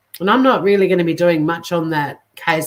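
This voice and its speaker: Ordinary pitch variation from a woman with an Australian accent. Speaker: true crime YouTuber. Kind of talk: casual live stream talk to viewers.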